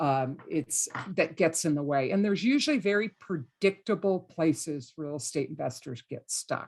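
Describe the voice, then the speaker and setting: An unremarkable speaking voice moves at a moderate pace with lively intonation and hardly any pauses. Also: woman, fairly low pitch for a woman. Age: 60s. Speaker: real estate investing coach. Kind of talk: podcast interview.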